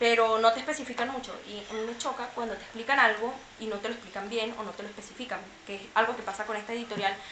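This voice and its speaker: Against noticeable background noise and audible room echo, a woman talks at a very fast pace with monotone, flat intonation. Her voice is fairly high and swings widely in loudness. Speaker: book youtuber. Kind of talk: casual book review monologue.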